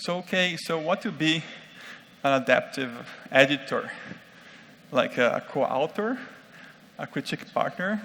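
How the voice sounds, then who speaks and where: A man with a non-native accent and a bright, sharp tone, at a moderate pace with long, frequent pauses. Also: fairly high pitch for a man, lively intonation. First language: not English. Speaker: conference speaker on UX design. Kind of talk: conference talk. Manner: halting, many fillers.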